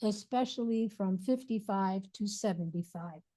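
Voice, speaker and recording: A woman with a dark, mellow, somewhat breathy tone speaks very slowly at a medium pitch, with ordinary pitch variation. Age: 80s+. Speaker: abdominal therapy teacher. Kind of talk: lecture. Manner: casual, reflective.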